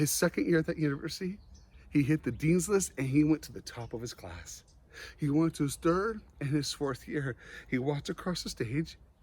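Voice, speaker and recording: Lively intonation marks this man's fairly high-pitched, somewhat breathy voice. He talks at a moderate pace. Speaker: motivational speaker. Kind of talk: motivational talk. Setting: online conference. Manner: animated.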